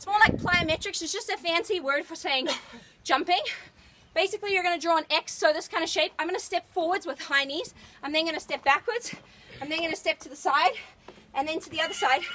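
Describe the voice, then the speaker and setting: A woman talks at a very fast pace in a raised, projected voice with an extremely high pitch and ordinary pitch variation. Her tone is bright, sharp and energetic, with big swings in loudness. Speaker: fitness trainer. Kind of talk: workout coaching.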